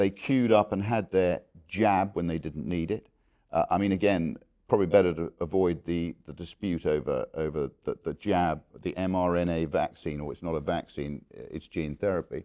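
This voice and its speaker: At a moderate pace, a man speaks with a very deep, low pitch, a dark, mellow tone and ordinary pitch variation. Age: 60s. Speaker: former politician. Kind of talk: interview. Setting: conference venue. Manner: halting.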